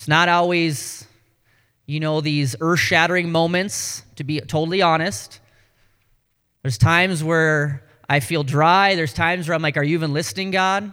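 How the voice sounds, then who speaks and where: In a very clean recording with a silent background, a man with a Canadian accent talks at a moderate pace, his bright, sharp voice fairly high in pitch with ordinary pitch variation. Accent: sounds Canadian. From North Dakota. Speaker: pastor. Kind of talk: sermon.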